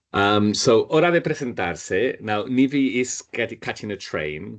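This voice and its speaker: With very wide pitch swings and vocal fry, a man talks. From northern Spain. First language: Spanish. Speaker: Spanish teacher. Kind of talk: online language class.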